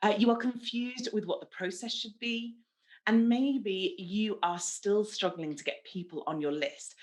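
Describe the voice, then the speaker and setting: Using lively intonation, a woman talks at a medium pitch. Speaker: marketing speaker and podcast host. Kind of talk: online presentation. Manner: fast.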